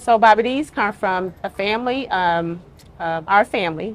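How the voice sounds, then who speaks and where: A woman speaks at a medium pitch and moderate pace. Her pitch varies in an ordinary way. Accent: Arkansas. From US South, Little Rock, Arkansas. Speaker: restaurant co-owner. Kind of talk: casual interview.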